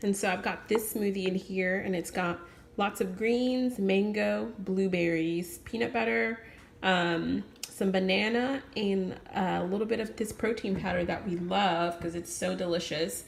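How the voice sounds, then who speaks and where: A woman speaks at a fairly slow pace in an enthusiastic tone, at medium pitch with ordinary pitch variation. Noticeable background noise and audible room echo surround her voice. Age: 20s. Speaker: vlogger sharing daily vegan meals. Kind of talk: casual vlog narration.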